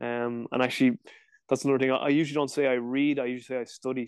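Against a quiet background, a man with a Dublin accent speaks at a medium pitch in a monotone, flat intonation. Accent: Dublin Irish. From Ireland, Dublin. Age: 30s. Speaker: strength and conditioning coach. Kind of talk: casual chat. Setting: video call.

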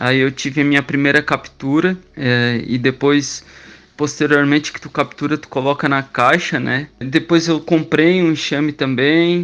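A plain, everyday voice speaks at a fairly slow pace with fairly even intonation. Its loudness swings widely. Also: man, fairly high pitch for a man. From southern Brazil, Criciúma, Santa Catarina. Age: 30s. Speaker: stingless beekeeper, traffic officer. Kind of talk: radio interview.

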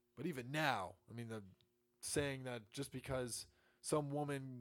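Using medium pitch and ordinary pitch variation, a man talks in an unremarkable speaking voice. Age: 20s. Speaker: political podcast host. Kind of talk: solo political commentary. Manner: repeats words often, stumbling.

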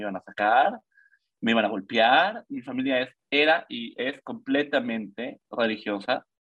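At a moderate pace, a man speaks in a plain, everyday voice. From Mexico, Yucatán (Mérida). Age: 20s. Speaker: cyclist sharing personal testimony. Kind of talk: testimony.

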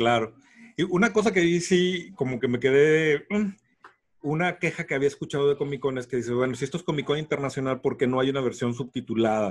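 The speaker talks at a fairly quick pace with a Mexican accent and ordinary pitch variation. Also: man, fairly high pitch for a man. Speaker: podcast co-host. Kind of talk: casual chat.

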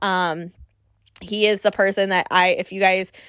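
A woman with an American accent speaks at a fairly slow pace in a bright, sharp, animated tone at medium pitch, in a very clean recording with a silent background and a dry, close sound with no echo. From Wisconsin. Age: 30s. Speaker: podcast host. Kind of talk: casual monologue.

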